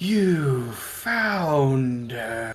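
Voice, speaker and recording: A put-on character voice from a man, medium in pitch. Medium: actual play. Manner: courteous, solemn.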